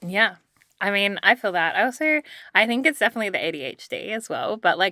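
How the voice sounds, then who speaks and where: Very fast delivery in an Australian accent, with very wide pitch swings and a bright, sharp tone, on a very clean recording with a silent background and a dry, close sound with no echo. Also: woman, fairly high pitch for a woman. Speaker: podcast co-host. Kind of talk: casual chat.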